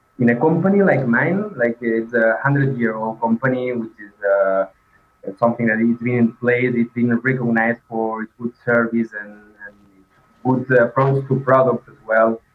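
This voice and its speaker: A man talks at a moderate pace and medium pitch with a non-native accent. His intonation stays fairly even while his loudness swings widely. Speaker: design manager. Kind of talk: interview. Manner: halting.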